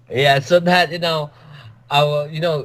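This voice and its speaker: A man speaks with an Indonesian accent. His voice is somewhat breathy. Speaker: cryptid field researcher, author. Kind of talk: interview. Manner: halting.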